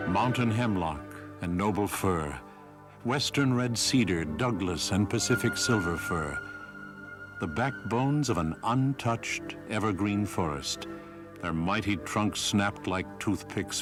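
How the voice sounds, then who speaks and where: With music in the background, a man with a fairly low pitch speaks fairly slowly using lively intonation. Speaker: documentary narrator. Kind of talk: documentary narration.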